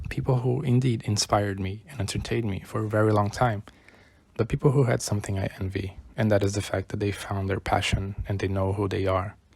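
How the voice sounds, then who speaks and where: Somewhat breathy, a man speaks at a fairly low pitch. He moves at a fairly quick pace with ordinary pitch variation. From Brazil. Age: 20s. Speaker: YouTuber. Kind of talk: personal vlog monologue.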